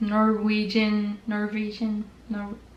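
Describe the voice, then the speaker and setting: The speaker has a French Canadian accent. The pace is very slow. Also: woman. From French Canada. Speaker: knitting vlogger. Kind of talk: casual vlog talk. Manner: casual, many fillers.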